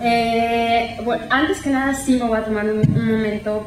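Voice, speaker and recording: There is noticeable background noise and audible room echo. A woman speaks with fairly even intonation. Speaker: art historian and researcher. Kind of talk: academic talk. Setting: colloquium with audience. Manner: halting.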